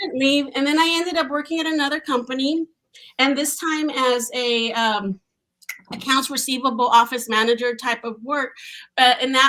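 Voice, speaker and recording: A woman's high, bright, sharp voice, raised and projected, with ordinary pitch variation at a moderate pace. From Mexico. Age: 40s. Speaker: tech professional. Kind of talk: podcast interview. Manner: animated.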